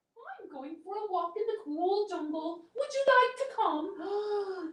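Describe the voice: A put-on character voice at an extremely high pitch moves at a fairly slow pace.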